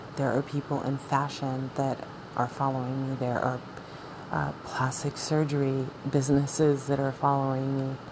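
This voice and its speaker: A woman's very deep, low voice at a moderate pace, monotone and flat, against noticeable background noise. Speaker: podcast host. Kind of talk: solo monologue. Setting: cold room.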